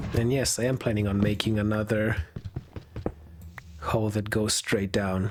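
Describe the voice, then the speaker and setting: At a moderate pace with long, frequent pauses, a man speaks in a fairly low, monotone, flat voice at very even loudness over noticeable background noise. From Europe. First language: not English. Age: 20s. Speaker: gaming video creator. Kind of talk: casual gameplay commentary. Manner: relaxed; halting.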